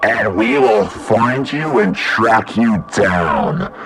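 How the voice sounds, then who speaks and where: A man puts on a character voice at medium pitch. He speaks at a very slow pace against clear background noise. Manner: demonic, menacing.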